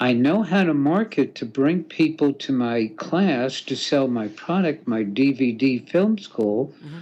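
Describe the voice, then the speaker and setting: Speaking very slowly with hardly any pauses, the voice has lively intonation against a quiet background. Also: man, fairly high pitch for a man. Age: 70s. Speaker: film school instructor. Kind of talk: interview. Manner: animated.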